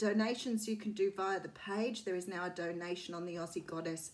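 Talking at a fairly quick pace, a woman uses ordinary pitch variation. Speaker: tarot reader. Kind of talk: casual vlog chat. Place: home room. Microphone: phone near.

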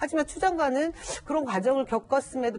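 Lively intonation carries a woman's speech at a moderate pace. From South Korea. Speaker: party spokesperson. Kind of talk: news panel discussion. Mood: earnest, defending the minister. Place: studio. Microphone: lapel.

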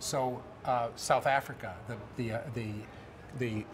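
A somewhat breathy man speaks with fairly even intonation. Noticeable background noise runs underneath. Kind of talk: interview answer. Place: hall.

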